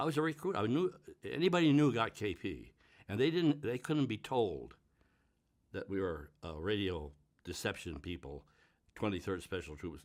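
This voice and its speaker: With an American accent and vocal fry, a man at a fairly low pitch moves through very wide pitch swings at a moderate pace, with long, frequent pauses. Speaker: war veteran. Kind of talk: interview answer.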